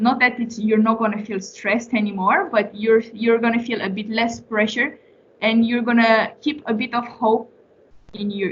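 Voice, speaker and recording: In a Romanian accent, a woman speaks at a fairly high pitch with a somewhat breathy sound. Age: 20s. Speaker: former intern and young professional. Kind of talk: Q&A with students. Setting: meeting with a student class. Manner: hesitant, many fillers and restarts.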